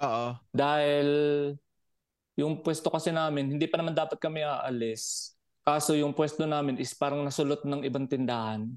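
Against a quiet background, a man with an ordinary speaking voice talks at a moderate pace, with a fairly high pitch and fairly even intonation. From Batangas, Philippines. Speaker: overseas Filipino worker, podcast listener. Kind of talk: casual chat.

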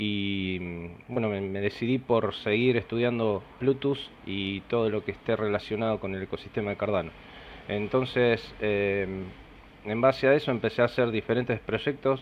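Here a man talks at a moderate pace with a fairly low pitch and fairly even intonation. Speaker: software developer. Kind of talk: podcast interview.

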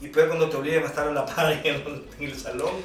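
Noticeable background noise and audible room echo surround this man's voice. He speaks at a fairly quick pace with lively intonation. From Honduras, Tegucigalpa. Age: 30s. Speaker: musician. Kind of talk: casual chat.

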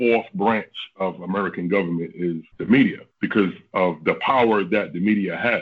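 Low in pitch, a man speaks with a slightly husky edge and ordinary pitch variation.

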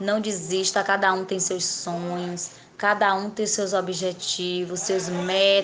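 A woman at medium pitch, very slow in pace, with monotone, flat intonation and noticeable background noise. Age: 30s. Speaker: beauty salon owner. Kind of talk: interview.

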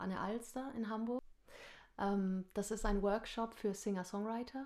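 A woman talks at a fairly slow pace with a medium pitch and fairly even intonation. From northern Germany, Lower Saxony (Nordhorn). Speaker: singer and musical performer. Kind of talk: casual interview chat. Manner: hesitant with many fillers.

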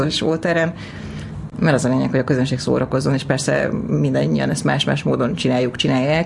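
A woman speaks very fast, with noticeable background noise in the recording. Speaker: stand-up comedian and screenwriter. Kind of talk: casual interview. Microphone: too far from the mic at first.

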